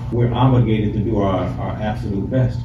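Over noticeable background noise and audible room echo, a man speaks at a fairly quick pace. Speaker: preacher. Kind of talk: sermon. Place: hall. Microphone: camera far.

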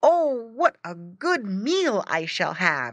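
In a put-on character voice, a female-sounding voice moves very slowly at a fairly high pitch with very wide pitch swings. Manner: grunting.

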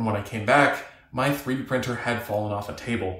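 Amid audible room echo, a man talks at a fairly quick pace with fairly even intonation. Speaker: maker vlogger. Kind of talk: tutorial narration.

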